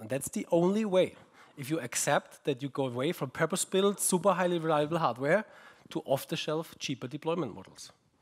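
A man speaks with a German accent at a moderate pace. His intonation is lively, and the background is quiet. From Germany. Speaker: research group head, conference keynote speaker. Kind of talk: keynote talk. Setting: conference stage with audience. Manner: halting, with fillers and repetitions. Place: hall.

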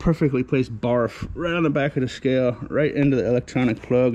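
A man with a dark, mellow tone talks at a moderate pace, his pitch varying in an ordinary way. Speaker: scavenging vlogger. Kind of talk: casual vlog chat. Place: street. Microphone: phone near.

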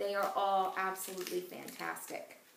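Noticeable background noise sits behind a woman's voice. She speaks at medium pitch in a monotone, flat intonation. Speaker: essential oils class instructor. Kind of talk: educational class presentation. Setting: home recording with puppies barking.

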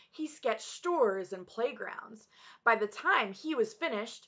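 Someone reads aloud. The reading is plain.

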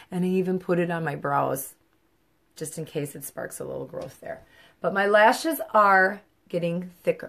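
A woman talks at a moderate pace. Her loudness swings widely. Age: 50s. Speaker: makeup seller. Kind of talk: makeup tutorial livestream. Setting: live video at home. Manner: casual. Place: home room. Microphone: phone near.

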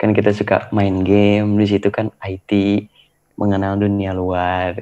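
With a dark, mellow tone and fairly low pitch, a man speaks fairly slowly in a monotone, flat way. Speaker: interview guest. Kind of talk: interview answer. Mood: cheerful, smiling, relaxed. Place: home room. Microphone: video call.

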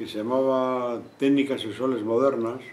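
Audible room echo around a man speaking at a very slow pace. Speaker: witness. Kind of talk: interview answer. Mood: reflective, slightly wry. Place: classroom.

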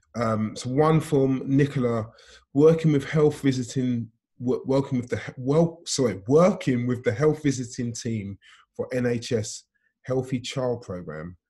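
A somewhat breathy man with a dark, mellow tone, fairly slow pace and ordinary pitch variation, over a quiet background. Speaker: conference host, pastor. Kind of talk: casual chat; host moderating Q&A. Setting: video call. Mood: warm, appreciative, calm. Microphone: video call.

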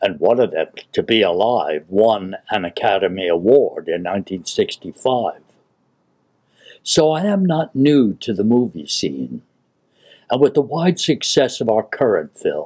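A man's medium-pitched voice at a fairly slow pace, with vocal fry and very wide pitch swings over a quiet background. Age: 80s+. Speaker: WWII veteran and poet. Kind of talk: film introduction. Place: home room. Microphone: webcam.

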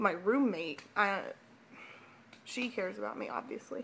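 A woman with a fairly high pitch and vocal fry talks over light background noise. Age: 20s. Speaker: vlogger. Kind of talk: personal vlog. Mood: emotional, personal confession. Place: home room. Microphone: webcam.

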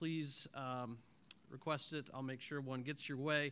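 At a moderate pace, a man speaks in a bright, sharp tone with fairly even intonation. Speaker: press conference moderator. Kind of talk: formal announcements. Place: hall.

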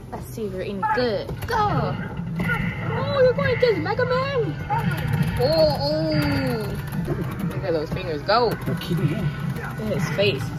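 The pace is very slow. Music plays in the background. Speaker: vlogger. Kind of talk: casual vlog chat. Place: shop. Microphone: phone near.

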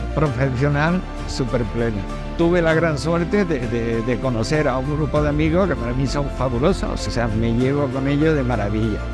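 Over clear background music, a man speaks at a moderate pace. The sound is dry, with no echo. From Andalusia, Spain. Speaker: painter. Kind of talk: interview answer. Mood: warm, grateful. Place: street. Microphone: lapel.

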